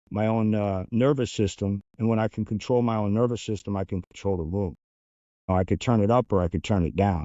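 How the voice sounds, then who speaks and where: A man talks at a fairly low pitch in an American accent. His pace is fairly quick, with ordinary pitch variation. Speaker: former undercover agent. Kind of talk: interview. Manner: fast.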